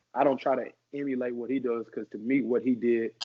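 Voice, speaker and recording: A man speaks here. His intonation is flat and monotone. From US South, Arkansas and St. Louis family. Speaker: rapper. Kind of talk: casual interview.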